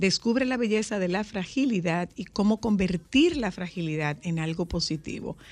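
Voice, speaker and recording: Against a quiet background, a woman speaks fairly slowly at a medium pitch with ordinary pitch variation. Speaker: radio host. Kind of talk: casual chat. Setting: studio. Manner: animated.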